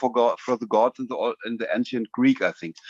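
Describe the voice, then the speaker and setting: In a German accent, a man speaks at a fairly quick pace in a dry, close sound with no echo. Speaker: typewriter enthusiast. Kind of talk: casual chat. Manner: halting.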